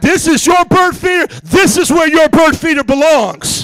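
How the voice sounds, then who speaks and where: Putting on a character voice at an extremely high pitch, a man speaks at a moderate pace. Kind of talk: street slang. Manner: tough, streetwise.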